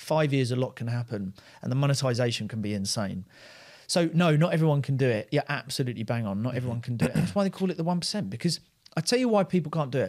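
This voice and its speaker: Racing at a very fast pace, a man at medium pitch speaks with lively intonation. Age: 30s. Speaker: entrepreneur. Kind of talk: casual chat.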